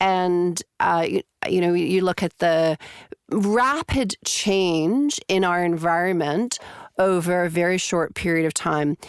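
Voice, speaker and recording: Speaking very slowly with a Canadian accent, a woman with a fairly low pitch keeps her loudness very even on a dry, close recording with no echo that is very clean, with a silent background. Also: ordinary pitch variation. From Canada. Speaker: clinical psychologist and researcher. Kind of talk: podcast interview. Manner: hesitant, many fillers.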